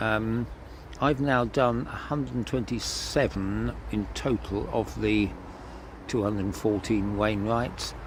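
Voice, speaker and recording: At a fairly slow pace, a man speaks in a fairly low pitch with ordinary pitch variation over noticeable background noise. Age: 70s. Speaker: choir conductor and hiker. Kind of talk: casual vlog recap. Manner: halting, with fillers.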